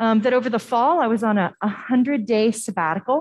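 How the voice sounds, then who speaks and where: The woman's voice is somewhat breathy. The background is quiet. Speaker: pastor leading worship. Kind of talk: sermon. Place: church.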